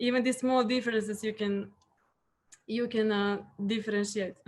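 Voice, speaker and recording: Her intonation fairly even, a woman talks in a fairly high pitch. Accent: Serbian. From Serbia. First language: Serbian. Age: 30s. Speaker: hotel guest relations professional. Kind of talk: interview.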